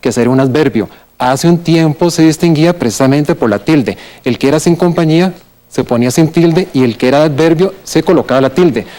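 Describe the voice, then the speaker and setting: A man with a Costa Rican accent talks fairly quickly in a fairly high pitch, his tone dark and mellow and his loudness very even. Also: ordinary pitch variation. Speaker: writer and philologist. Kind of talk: TV language segment explanation.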